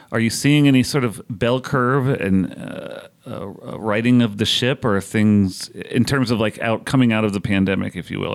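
A man speaks in a normal speaking voice at a moderate pace. His pitch varies in an ordinary way. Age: 30s. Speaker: podcast host and editor. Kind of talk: interview conversation.

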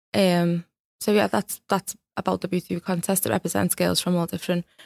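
A woman with a Liverpool accent speaks in a flat monotone at a fairly low pitch, with a dry, close sound and no echo. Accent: Scouse (Liverpool). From Liverpool, England. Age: 20s. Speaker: beauty pageant winner and mental health advocate. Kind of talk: interview.

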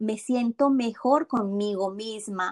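Speaking at a very slow pace with lively intonation, a woman's fairly high voice comes through dry and close, with no echo. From Colombia. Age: 40s. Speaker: habit coach and meditation teacher. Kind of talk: interview.

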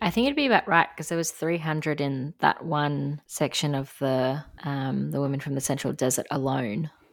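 Speaking with an Australian accent, a woman with a very deep, low pitch keeps a moderate pace, ordinary pitch variation and hardly any pauses. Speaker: podcast co-host. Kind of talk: casual chat.

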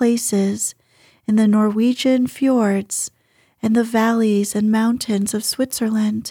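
At a fairly slow pace, the voice is somewhat breathy with a soothing, calm tone and ordinary pitch variation, in a dry, close sound with no echo. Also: woman. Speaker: audiobook narrator. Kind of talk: dramatic narration, reading a novel aloud at bedtime. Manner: soft, slow, soothing and calm, with gentle storytelling expression.

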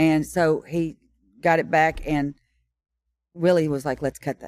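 In a Tennessee accent, a woman with a fairly low pitch speaks at a moderate pace, recorded very cleanly against a silent background with a dry, close sound and no echo. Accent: Southern US (Tennessee). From Tennessee (Kingston Springs, near Nashville). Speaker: songwriter. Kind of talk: interview, storytelling. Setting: stage of a Nashville listening room.

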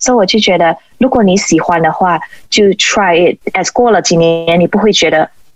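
A woman with an unremarkable speaking voice talks at a moderate pace and medium pitch, with ordinary pitch variation and very even loudness. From Malaysia. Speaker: sports photographer and former figure skater. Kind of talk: interview.

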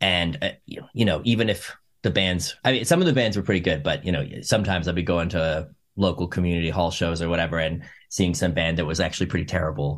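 A man with a Canadian accent, very deep and low in pitch, at a very fast pace with ordinary pitch variation, in a very clean recording over a silent background. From Canada, Edmonton, Alberta. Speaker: musician. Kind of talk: interview conversation.

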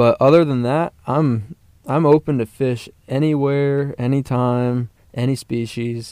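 Speaking at a fairly slow pace, a man uses an unremarkable speaking voice at a medium pitch with fairly even intonation and a dry, close sound with no echo. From Colorado (Parker, near Denver). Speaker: university fishing club officer. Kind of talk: casual chat.

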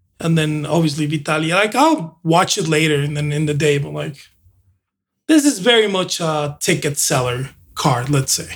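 A man with a Spanish accent talks at a moderate pace. His pitch is fairly high, with ordinary pitch variation. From Mexico. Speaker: host's husband, co-presenter. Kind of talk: casual chat.

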